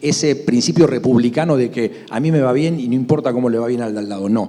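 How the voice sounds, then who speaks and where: A man's voice sits at a medium pitch with ordinary variation. He talks very fast over noticeable background noise. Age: 60s. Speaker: grain broker. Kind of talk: panel discussion.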